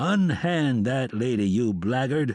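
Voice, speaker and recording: Putting on a character voice, a man speaks at medium pitch and a fairly slow pace with a resonant sound and lively intonation. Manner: commanding.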